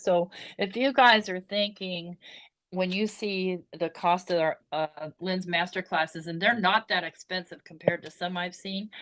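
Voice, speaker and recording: On a very clean recording with a silent background, a woman speaks at a medium pitch with fairly even intonation in an unremarkable speaking voice. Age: 60s. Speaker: crafter, retired. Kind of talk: casual chat. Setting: video livestream.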